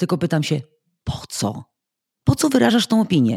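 A woman's very deep, low voice is somewhat breathy, with very wide pitch swings at a moderate pace. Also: very clean recording, silent background. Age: 50s. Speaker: podcast guest. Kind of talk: casual interview.

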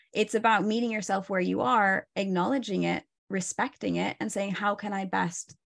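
With a Pacific Northwest accent, a woman speaks at a medium pitch and a moderate pace against a quiet background. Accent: American (Pacific Northwest). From Oregon, US. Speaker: stress and burnout coach. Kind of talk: interview.

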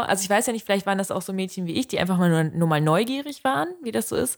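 In a very clean recording with a silent background, a woman with a medium pitch talks at a very fast pace with hardly any pauses. Her intonation is lively. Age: 20s. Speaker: podcast co-host. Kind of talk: casual chat.

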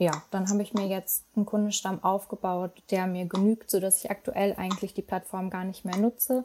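The tone is dark and mellow. Delivery is flat and monotone, with hardly any pauses. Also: woman, medium pitch for a woman, moderate pace. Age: 20s. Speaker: digital nomad, content marketer. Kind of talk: interview.

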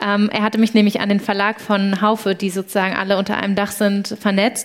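Noticeable noise fills the background as a woman delivers her words fairly quickly. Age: 20s. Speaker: startup founder. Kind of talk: live podcast interview before an audience. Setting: university venue with live audience. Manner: animated.

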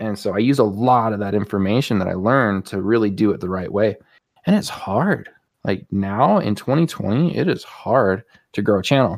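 At a moderate pace, a man speaks in a fairly low voice. His pitch varies in an ordinary way. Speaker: music producer and YouTuber. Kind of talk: casual interview chat. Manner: calm, advice-giving.

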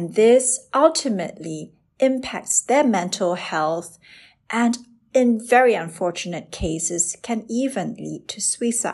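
A woman with a normal speaking voice, fairly high pitch, lively intonation, big swings in loudness and a fairly slow pace. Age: 30s. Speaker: dermatologist and podcast host. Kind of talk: scripted narration. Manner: formal.

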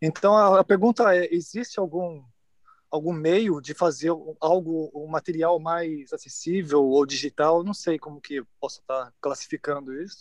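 The sound is dry and close with no echo as a man with a high pitch for a man speaks with big swings in loudness. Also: ordinary pitch variation, moderate pace. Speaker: horn player, audience member. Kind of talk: audience question. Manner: halting.

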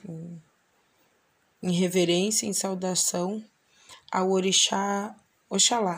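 Very slow and monotone, with flat intonation, a woman speaks at medium pitch. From southern Brazil, Bagé (Rio Grande do Sul). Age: 30s. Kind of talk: personal testimony. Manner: halting, many fillers.

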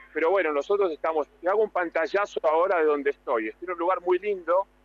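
A man with a Rioplatense accent talks at a fairly quick pace, his pitch varying in an ordinary way. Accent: Argentine Rioplatense Spanish. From Argentina. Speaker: TV and radio presenter, speaking coach. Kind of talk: radio interview by phone.

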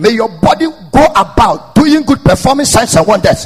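A man talks with an animated tone and a moderate pace while noticeable background noise carries on behind him. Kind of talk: sermon. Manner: rousing, repetitive, rising intensity with call-and-response.

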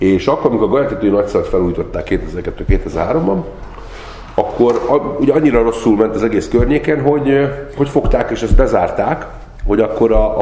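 Background noise is noticeable, and room echo can be heard. A man talks at a fairly quick pace. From Hungary, Great Plain (Gyula). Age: 40s. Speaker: hotel owner family member. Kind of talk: interview. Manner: halting, many fillers.

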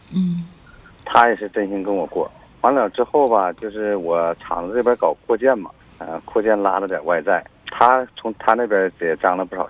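Lively intonation over noticeable background noise. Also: man, fairly low pitch for a man, moderate pace. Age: 40s. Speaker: caller, factory owner. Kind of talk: phone-in advice call. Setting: phone call. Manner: halting.

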